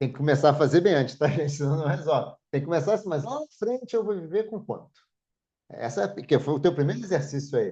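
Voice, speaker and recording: A man speaks at a very fast pace in a fairly high pitch, his tone dark and mellow. His intonation is lively and his voice somewhat breathy. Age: 60s. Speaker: podcast host. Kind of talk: casual podcast conversation.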